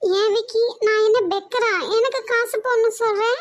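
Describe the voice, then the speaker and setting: A woman's cartoonish character voice at an extremely high pitch, monotone and flat, at a moderate pace. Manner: brazen, teasing.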